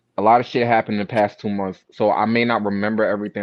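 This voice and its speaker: Speaking at a very fast pace, a man with an American accent uses a medium pitch. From New York. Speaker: interviewer. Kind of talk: casual interview.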